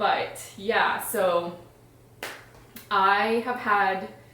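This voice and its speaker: A woman talks over noticeable background noise, with audible echo from the room. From Iran. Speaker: stay-at-home mom and health vlogger. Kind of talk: casual vlog introduction. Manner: conversational with filler words.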